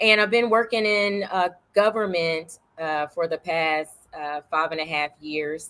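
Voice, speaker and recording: Fairly slow speech from a woman, pitched fairly low. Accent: Southern. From New York City, Harlem. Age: 40s. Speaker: political candidate. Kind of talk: interview.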